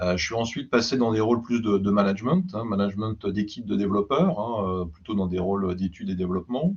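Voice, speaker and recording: Talking at a very fast pace, a man barely stops, with hardly any pauses. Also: fairly low pitch for a man, ordinary pitch variation. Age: 60s. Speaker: IT executive, former CIO and advisor. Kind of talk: interview podcast, casual conversational. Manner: relaxed, frequent fillers.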